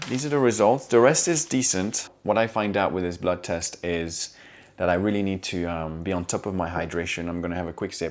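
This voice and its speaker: A man with a non-native accent speaks at a very deep, low pitch with ordinary pitch variation. The recording is very clean, with a silent background. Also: fairly quick pace. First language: not English. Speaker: fitness vlogger. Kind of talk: casual video log. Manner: hesitant, many fillers.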